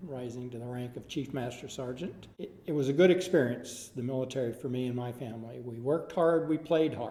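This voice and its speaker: A man's dark, mellow, medium-pitched voice with an Upper Midwest accent, at a fairly quick pace with hardly any pauses, ordinary pitch variation, and big swings in loudness. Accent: Upper Midwest American. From Minnesota. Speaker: Air Force veteran. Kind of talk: oral history interview answer.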